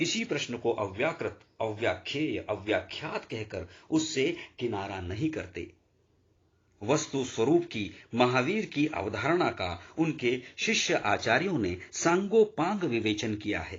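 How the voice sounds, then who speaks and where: Somewhat breathy, a man talks at a medium pitch with very wide swings in pitch. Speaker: audiobook narrator. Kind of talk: audiobook reading of a religious philosophy text.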